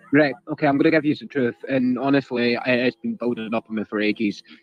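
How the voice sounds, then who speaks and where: Here a man speaks at a medium pitch. He has a strong British accent. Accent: heavy British. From United Kingdom.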